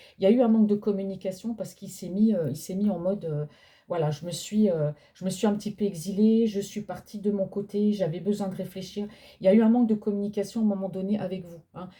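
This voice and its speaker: A soft-spoken woman's medium-pitched voice, dark and mellow, very fast in pace with fairly even intonation and big swings in loudness. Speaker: tarot card reader. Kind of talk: psychic reading. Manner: speaking louder than usual. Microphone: no microphone.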